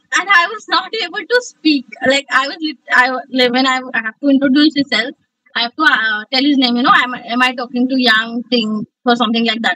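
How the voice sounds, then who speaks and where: Raised and projected, a woman's high-pitched voice has a bright, sharp tone, ordinary pitch variation and a fairly quick pace. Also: dry, close sound with no echo. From India, Mumbai (Telugu family). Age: 20s. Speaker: communication skills trainer. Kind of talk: online class. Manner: fast.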